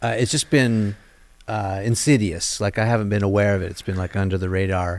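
This man's pitch is fairly low and his intonation fairly even. He talks at a fairly quick pace. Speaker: podcast host. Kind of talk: interview. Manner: calm.

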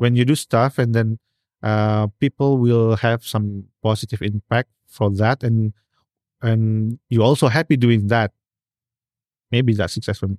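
In an Indonesian accent, a man speaks at a medium pitch and fairly slow pace with long, frequent pauses, fairly even intonation and very even loudness, in a dry, close sound with no echo on a very clean recording with a silent background. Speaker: portrait photographer. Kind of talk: casual interview. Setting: studio. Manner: halting.

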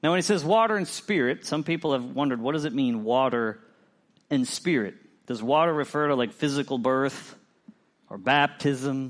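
With an ordinary speaking voice, a man talks at a fairly high pitch with ordinary pitch variation against a quiet background. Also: moderate pace. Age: 40s. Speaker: pastor. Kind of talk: sermon.

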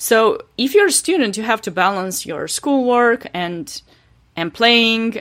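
On a very clean recording with a silent background, a woman with a fairly high pitch talks at a moderate pace with lively intonation. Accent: Romanian. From Romania. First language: Romanian. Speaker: chess player. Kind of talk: interview. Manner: hesitant, many fillers.

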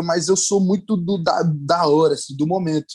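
With a Bahian accent, a man speaks at a high pitch with ordinary pitch variation. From Bahia, Brazil. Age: young. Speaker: actor. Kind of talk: interview.

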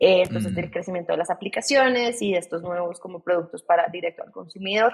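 A woman at a very fast pace and medium pitch, with lively intonation, big swings in loudness and hardly any pauses. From Colombia, Bogotá. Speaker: startup CEO. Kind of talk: interview.

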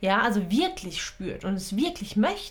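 Audible room echo surrounds a woman who speaks at a fairly slow pace with a fairly high pitch. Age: 30s. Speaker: podcast host and coach. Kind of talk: solo monologue podcast. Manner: casual, with frequent fillers and laughs.

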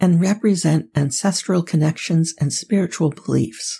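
Soothing and calm, a woman's fairly low voice comes out somewhat breathy with a dark, mellow tone at a fairly slow pace. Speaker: sleep podcast host. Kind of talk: sleep-inducing scripted narration. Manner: soothing, calm, slow; gentle, soft-spoken.

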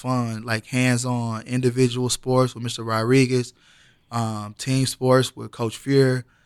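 With an American accent and a medium pitch, a man speaks at a fairly slow pace with big swings in loudness on a very clean recording with a silent background. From US Midwest, Danville, Illinois. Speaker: physical education teacher. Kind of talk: casual chat. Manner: halting, many fillers.

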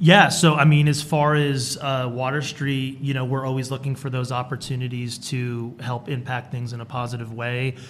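This man talks in a flat monotone, barely pausing at all. There is noticeable noise behind him. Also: medium pitch for a man, moderate pace. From Rhode Island. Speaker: architect, firm vice president. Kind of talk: interview.

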